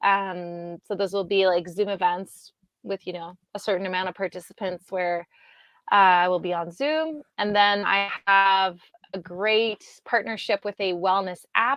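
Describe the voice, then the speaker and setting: A woman with a Quebec accent talks at medium pitch with ordinary pitch variation. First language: French. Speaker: digital nomad entrepreneur. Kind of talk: interview.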